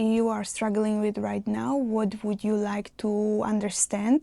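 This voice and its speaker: Speaking in a non-native accent, a woman goes at a moderate pace. Her voice is fairly high-pitched with a dark, mellow tone. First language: not English. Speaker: mindset coach. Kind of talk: motivational talk to camera.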